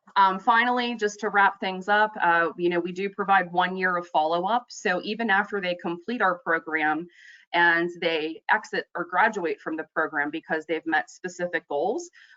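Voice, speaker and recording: A woman with a plain, everyday voice talks at a moderate pace with hardly any pauses, her medium pitch showing ordinary pitch variation. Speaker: youth employment program presenter. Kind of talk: presentation on a conference call. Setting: webinar call.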